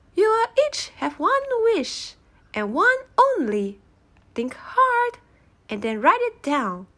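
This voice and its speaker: In a put-on character voice, a woman speaks at a very slow pace with an extremely high pitch, very wide pitch swings, and long, frequent pauses. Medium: read story. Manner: brisk, commanding.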